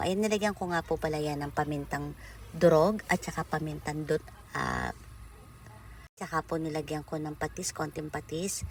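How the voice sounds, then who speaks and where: A woman's very deep, low pitch at a moderate pace with fairly even intonation. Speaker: OFW cooking vlogger. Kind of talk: cooking vlog narration. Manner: halting with self-corrections.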